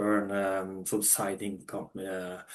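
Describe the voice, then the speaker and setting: A man speaks with a Norwegian accent. His pace is fairly slow. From Norway. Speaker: funded trader. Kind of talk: interview. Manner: halting, many fillers and restarts.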